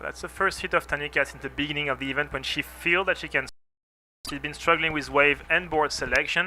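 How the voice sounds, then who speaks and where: With a French accent, a man talks in a bright, sharp tone. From France. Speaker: surf contest commentator. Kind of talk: live commentary. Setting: commentary booth.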